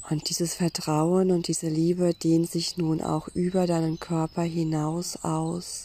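A woman speaks at a very slow pace with hardly any pauses and very even loudness, her pitch fairly low and her intonation monotone and flat. Her tone is dark and mellow, soothing and calm. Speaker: meditation guide. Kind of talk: guided meditation. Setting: outdoors in a forest with birdsong. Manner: slow, soothing, calm; gentle, pausing, inviting.

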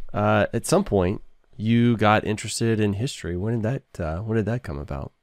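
Recorded very cleanly against a silent background, a man speaks in a plain, everyday voice. His pitch is fairly low with ordinary pitch variation, at a moderate pace. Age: 40s. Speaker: podcast host. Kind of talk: casual interview chat.

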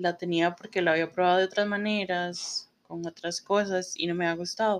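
A woman speaks at a moderate pace and medium pitch. Hers is an unremarkable speaking voice. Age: 30s. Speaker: podcast host, publicist. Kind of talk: solo podcast monologue. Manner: casual, filler-heavy.

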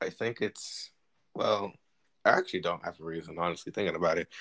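A man with an American accent talks at a very fast pace with vocal fry. The recording is very clean with a silent background and a dry, close sound with no echo. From US East Coast, New Jersey. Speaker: podcast co-host. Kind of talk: casual chat. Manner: animated.

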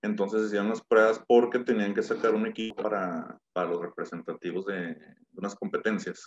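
Hardly pausing, a man speaks at a moderate pace with big swings in loudness. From Mexico, Torreón. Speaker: business consultant and former athlete. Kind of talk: casual interview.

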